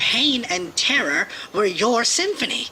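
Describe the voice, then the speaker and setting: A put-on character voice, fairly high and fairly slow, with very wide pitch swings and clear background noise. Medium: read story. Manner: concerned, pleading.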